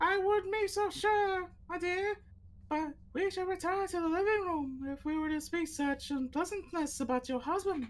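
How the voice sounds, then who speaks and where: Squeaky and extremely high in pitch, a put-on character voice moves at a moderate pace. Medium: game stream. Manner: smooth, courteous, menacing.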